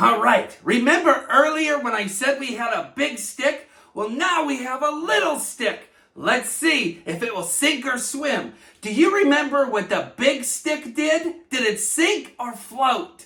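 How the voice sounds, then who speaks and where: A man's cartoonish character voice, extremely high-pitched, raised and projected, at a fairly slow pace. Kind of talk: kids' educational presentation. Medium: puppet. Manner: upbeat.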